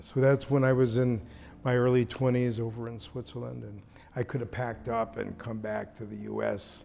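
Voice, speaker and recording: A man with an American accent speaks at a moderate pace and medium pitch in a normal speaking voice. His intonation stays fairly even while his loudness swings widely. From San Francisco, US. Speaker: luxury resort owner. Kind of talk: interview conversation. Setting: resort.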